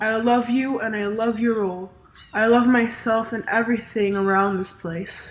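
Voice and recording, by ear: A natural voice, reading aloud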